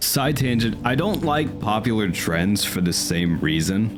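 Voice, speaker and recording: A man speaks with music playing in the background. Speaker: gaming video commentator. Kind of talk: casual game review commentary.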